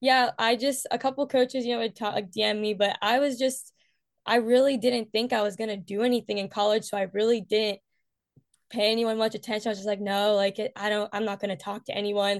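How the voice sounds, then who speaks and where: This is an ordinary speaking voice with an American accent, moving at a fairly quick pace. The intonation stays fairly even, and the background is quiet. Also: woman, fairly high pitch for a woman. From West Virginia. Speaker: college track athlete. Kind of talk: interview.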